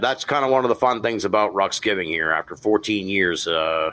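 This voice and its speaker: Using an unremarkable speaking voice, a man with an American accent speaks at a moderate pace with a fairly low pitch and lively intonation. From Boston. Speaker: podcast host. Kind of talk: casual chat.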